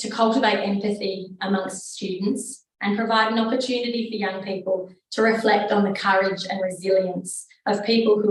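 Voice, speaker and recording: With an Australian accent, a woman of medium pitch talks at a moderate pace in a monotone, flat delivery. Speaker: research fellow presenter. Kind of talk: presentation. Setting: conference room with audience and online.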